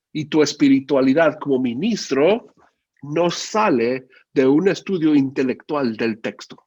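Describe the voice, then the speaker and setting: At a fairly slow pace, a man with a fairly high pitch talks in a plain, everyday voice with ordinary pitch variation. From Mexico, Guadalajara, Jalisco. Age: 40s. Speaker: preacher. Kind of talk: sermon.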